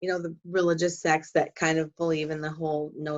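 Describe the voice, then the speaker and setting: A woman with a Wisconsin accent speaks in a very deep, low voice. Her pace is fairly quick and her intonation fairly even. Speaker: podcast host, bodywork practitioner. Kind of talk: conversational podcast interview.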